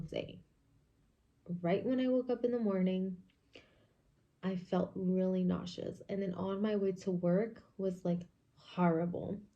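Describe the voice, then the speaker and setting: Soft-spoken and dark, mellow in tone, a woman speaks at a medium pitch and a fairly slow pace with fairly even intonation. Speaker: vlogger. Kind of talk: casual chat. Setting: at home in kitchen.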